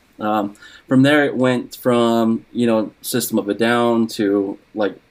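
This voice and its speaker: Monotone and flat in intonation, a man with an American accent speaks at a medium pitch and a fairly slow pace. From eastern Washington, US. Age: 30s. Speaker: podcast guest, metal fan. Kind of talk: casual chat.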